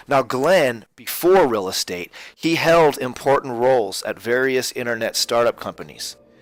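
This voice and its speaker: With music in the background, a man at medium pitch talks with lively intonation and hardly any pauses. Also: moderate pace. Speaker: real estate agent. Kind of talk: webinar presentation. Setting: webinar. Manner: energetic.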